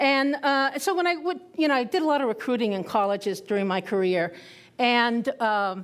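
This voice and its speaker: A woman speaks high in pitch at a moderate pace, with very wide pitch swings and very even loudness. The recording is very clean, with a silent background. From Puerto Rico. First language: Spanish. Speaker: retired intelligence officer, conference speaker. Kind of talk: conference talk. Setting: stage with audience. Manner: conversational, with hesitations.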